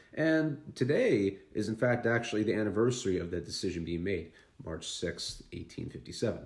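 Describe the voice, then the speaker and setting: Somewhat breathy, a man with a fairly low pitch talks at a moderate pace with lively intonation. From Canada, Vancouver Island (BC). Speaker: history YouTuber. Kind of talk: casual history talk. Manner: casual, conversational with fillers.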